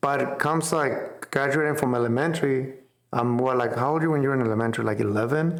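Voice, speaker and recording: Speaking very fast at a medium pitch, a man with a Spanish accent keeps his loudness very even in a room with audible echo. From central Mexico, small town. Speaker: business owner. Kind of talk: casual interview chat. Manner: animated, casual.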